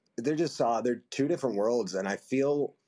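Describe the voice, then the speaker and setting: A man talks at a medium pitch with lively intonation. His pace is fairly slow. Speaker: actor. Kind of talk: casual interview.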